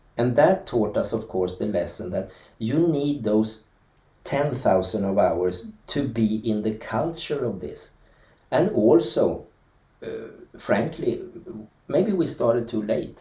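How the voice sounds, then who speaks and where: A man with a Swedish accent, a medium pitch and a dark, mellow, somewhat breathy tone, at a very slow pace with long, frequent pauses and audible room echo. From Sweden. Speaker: dancer. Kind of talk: interview. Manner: halting.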